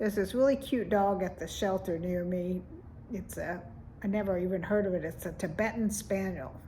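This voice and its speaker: A woman with a dark, mellow tone sounds somewhat breathy, speaking at a moderate pace with ordinary pitch variation. Room echo is audible. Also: medium pitch for a woman. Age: 70s. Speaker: vlogger. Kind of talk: casual vlog monologue.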